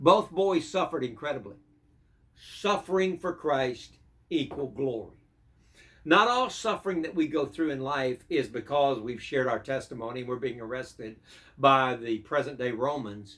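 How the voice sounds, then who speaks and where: At a moderate pace, a man talks in a plain, everyday voice, fairly high in pitch with lively intonation. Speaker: pastor. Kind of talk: devotional sermon.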